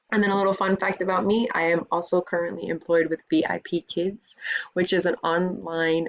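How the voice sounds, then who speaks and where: A woman with an American accent speaks at a moderate pace, her pitch fairly low. She has a normal speaking voice. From US South, Miami, Florida. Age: 30s. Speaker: school administrator and teacher. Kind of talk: recorded course introduction video.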